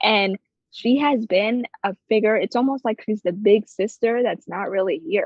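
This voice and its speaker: The speaker uses a New Jersey accent, going at a fairly slow pace with ordinary pitch variation. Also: woman. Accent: New Jersey American. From New Jersey, US. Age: 20s. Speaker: creative director. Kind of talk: podcast interview. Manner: animated.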